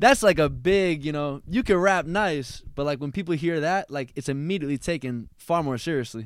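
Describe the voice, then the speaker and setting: A man with an American accent speaks at a moderate pace in an unremarkable speaking voice, fairly high in pitch with ordinary pitch variation. The recording is very clean with a silent background, and there are hardly any pauses. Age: 20s. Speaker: rapper. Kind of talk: casual interview chat. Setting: in-person studio.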